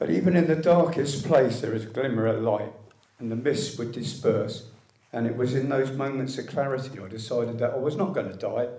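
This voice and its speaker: Speaking fairly quickly with a British accent, a man at a medium pitch is heard over noticeable background noise. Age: 60s. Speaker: liver cancer patient, medical cannabis activist. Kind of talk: public speech at an event. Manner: reading from a script.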